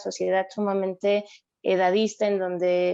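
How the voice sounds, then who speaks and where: Against a quiet background, a woman speaks at a medium pitch and a moderate pace. Her tone is dark and mellow, and her intonation is monotone and flat. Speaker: psychologist. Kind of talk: interview.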